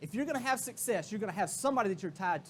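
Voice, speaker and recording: A man speaks in a Southern US accent at a high pitch. His tone is animated, with very wide pitch swings. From Florida, US South. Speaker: keynote speaker, real estate executive. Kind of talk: motivational keynote. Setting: stage with audience.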